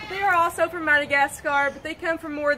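Over light background noise, a woman speaks at a fairly quick pace in a raised, projected voice. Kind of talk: keeper talk to visitors. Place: open country. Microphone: camera far.

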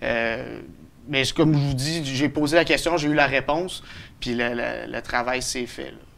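A man speaks at a fairly slow pace with vocal fry, fairly even intonation and big swings in loudness. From Quebec, Beloeil; Quebec. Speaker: citizen initiator of a local project; interviewee. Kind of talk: TV interview. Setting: studio. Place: studio. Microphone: lapel.

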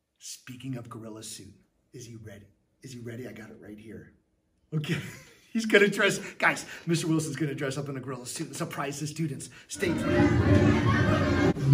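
Over noticeable background noise, a man talks at a moderate pace with lively intonation and big swings in loudness. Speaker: teacher hosting a school show. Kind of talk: upbeat show hosting to students.

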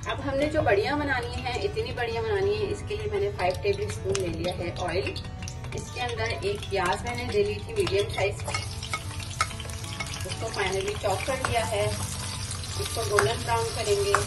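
A woman speaks at a fairly slow pace with clear music playing in the background. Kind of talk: cooking tutorial. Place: kitchen. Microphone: phone near.

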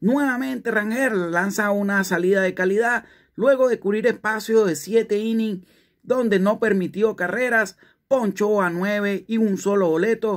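The setting around this man is quiet. He talks at a fairly slow pace. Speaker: sports news presenter. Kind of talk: scripted sports news narration. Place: home room. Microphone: phone near.

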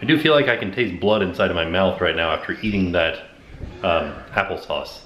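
A fairly low-pitched man with audible room echo and light background noise. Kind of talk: casual vlog chat. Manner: careful, slightly muffled post-surgery speech.

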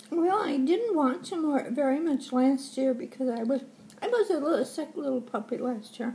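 A woman with a high pitch speaks at a moderate pace using lively intonation. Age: 80s+. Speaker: grandmother sharing opinions. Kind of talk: casual interview answer. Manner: hesitant, chatty. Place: home room. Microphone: webcam.

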